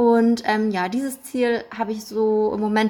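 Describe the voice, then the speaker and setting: A woman with a fairly high voice talks at a fairly slow pace. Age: 20s. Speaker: clinical psychologist. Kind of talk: podcast interview.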